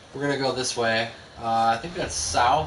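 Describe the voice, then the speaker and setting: A man with an American accent, audible room echo, and music in the background. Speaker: video game streamer. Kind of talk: gameplay live stream commentary. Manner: stuttering; fast, mumbling.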